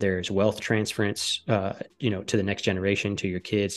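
Against a quiet background, a man with an American accent speaks very fast at a fairly low pitch. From US Midwest, northern Michigan. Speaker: business owner and tax consultant. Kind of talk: podcast interview. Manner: casual, filler-heavy.

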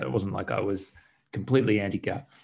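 A man speaks with an Australian accent at a fairly low pitch. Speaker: EV conversion company co-founder. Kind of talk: interview. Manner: hesitant, repeats words.

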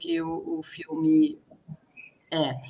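This is a woman speaking. Her pitch is fairly low. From Rio Grande do Sul, Brazil. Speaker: film director. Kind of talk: online panel discussion. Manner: halting.

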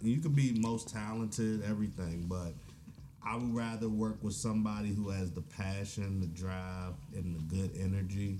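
The tone is dark and mellow, with ordinary pitch variation. Room echo can be heard. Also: man, fairly low pitch for a man, moderate pace. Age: young. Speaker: rapper. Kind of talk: casual interview chat.

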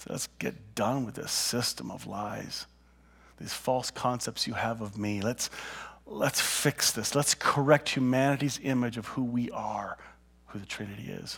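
In a normal speaking voice with a medium pitch, a man talks at a fairly slow pace with fairly even intonation and big swings in loudness. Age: 50s. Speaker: pastor. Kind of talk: sermon. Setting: church.

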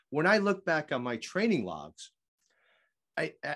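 With vocal fry and very wide pitch swings, a man talks at a fairly quick pace against a quiet background. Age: 50s. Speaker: walking fitness author and teacher. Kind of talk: casual interview chat.

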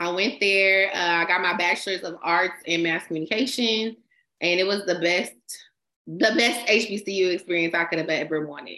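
With an American accent, a woman talks at a moderate pace in a plain, everyday voice with ordinary pitch variation. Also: medium pitch for a woman. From California, Bay Area and Stockton. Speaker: entertainment writer and rapper. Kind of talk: casual chat.

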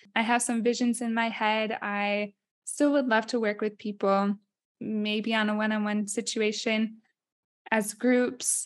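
With an American accent, a woman talks at a fairly slow pace in a fairly high pitch and a monotone, flat intonation over a quiet background. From Iowa. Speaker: podcast co-host. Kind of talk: casual chat. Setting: studio.

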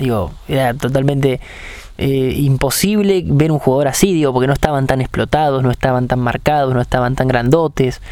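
A man in a Rioplatense accent speaks with ordinary pitch variation over noticeable background noise. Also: medium pitch for a man, fairly quick pace. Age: 20s. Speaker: sports podcast host. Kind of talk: interview. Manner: halting, repeats words.

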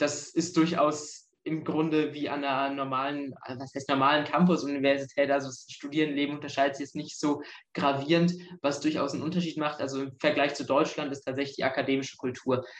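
Fairly quickly and with flat, monotone intonation, a man talks in a fairly high voice. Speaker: history student. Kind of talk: casual interview.

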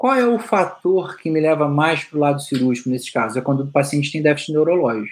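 A man with an ordinary speaking voice, fairly high in pitch, at a fairly quick pace, in a very clean recording with a silent background. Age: 40s. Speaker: orthopedic doctor. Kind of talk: casual interview chat.

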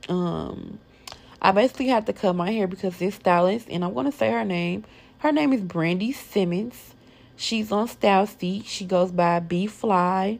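This woman has a medium pitch and lively intonation. Her pace is moderate. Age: 20s. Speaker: podcast host. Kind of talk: casual solo chat. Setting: recording at home downtown, noisy area.

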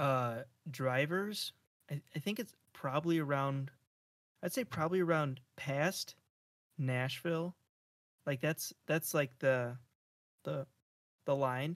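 With long, frequent pauses and a fairly slow pace, a man speaks at a fairly high pitch with ordinary pitch variation in a dry, close sound with no echo. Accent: American. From Japan. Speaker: podcast co-host. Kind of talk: casual chat.

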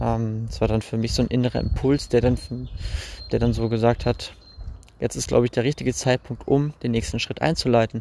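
Long, frequent pauses interrupt a man's otherwise moderate pace. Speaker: podcaster. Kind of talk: personal storytelling monologue. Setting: outdoors, recorded while walking. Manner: halting, many fillers.

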